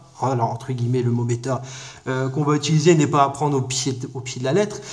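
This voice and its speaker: A man with a fairly high voice talks fairly quickly, his pitch varying in an ordinary way. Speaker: card game YouTuber. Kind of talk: casual deck review tutorial. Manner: fast; hesitant with many fillers.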